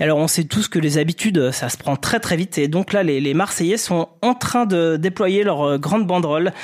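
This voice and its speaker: Here a man speaks at a moderate pace with hardly any pauses. His voice is high, with ordinary pitch variation and very even loudness. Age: 40s. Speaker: sports journalist. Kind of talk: comedic football podcast chat.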